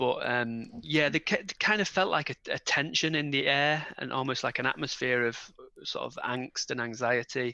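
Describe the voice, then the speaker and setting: Speaking with a northern English accent, a man with a fairly high, bright and sharp voice moves at a moderate pace with ordinary pitch variation against a quiet background. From northern England. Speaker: parent of premature twins. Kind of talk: interview.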